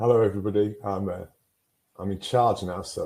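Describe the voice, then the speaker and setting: A man with a northern English accent speaks at a moderate pace. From northern England. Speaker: mental health guidance presenter. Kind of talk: webinar presentation. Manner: clear and concise.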